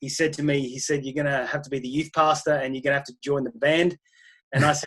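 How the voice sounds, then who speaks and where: Talking very fast, a man uses an Australian accent. His fairly high voice keeps a monotone, flat intonation. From Australia, country Queensland. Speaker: pastor. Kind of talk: interview.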